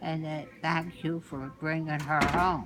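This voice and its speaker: A woman's voice with a very deep, low pitch. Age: 80s+. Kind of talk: family storytelling interview answer.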